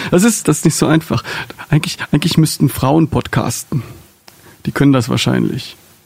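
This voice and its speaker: Against noticeable background noise, a man with a fairly high pitch and ordinary pitch variation speaks at a moderate pace with long, frequent pauses. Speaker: podcast host. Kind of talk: casual interview. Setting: studio.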